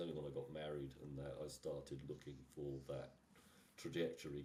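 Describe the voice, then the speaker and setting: A man with a very deep, low voice and vocal fry talks at a moderate pace in a monotone, flat way. Audible room echo surrounds the voice. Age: 60s. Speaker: engineer, technical director. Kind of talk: podcast interview. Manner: halting.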